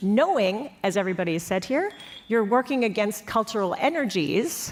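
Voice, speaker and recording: A woman with an American accent at a medium pitch and moderate pace, animated in tone and lively in intonation, against noticeable background noise. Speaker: panelist on European security policy. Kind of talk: panel discussion.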